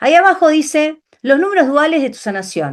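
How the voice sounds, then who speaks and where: The speaker is a woman. The background is quiet. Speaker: numerology teacher. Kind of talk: online class lecture. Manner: fast.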